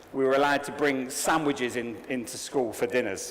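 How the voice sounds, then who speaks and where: Amid noticeable background noise and audible room echo, a man with an English accent speaks at a moderate pace. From England. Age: 40s. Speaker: conference speaker. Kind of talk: keynote talk. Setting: stage with audience. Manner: animated.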